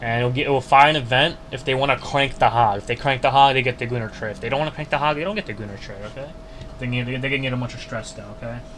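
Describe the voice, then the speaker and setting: Speaking very fast at a medium pitch, a man is heard over noticeable background noise. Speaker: YouTube modding tutorial creator. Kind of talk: screen-share coding tutorial. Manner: casual, halting with self-corrections.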